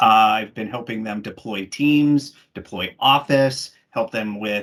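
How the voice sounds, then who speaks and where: A man with an American accent speaks at a fairly slow pace. His medium pitch shows ordinary variation. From Washington State, US. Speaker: technical specialist. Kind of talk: webinar presentation.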